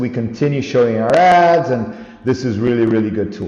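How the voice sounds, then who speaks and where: There is audible room echo as a man speaks at a medium pitch. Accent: non-native. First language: not English. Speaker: online store owner, tutorial vlogger. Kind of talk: screen-recorded tutorial. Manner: halting, self-correcting.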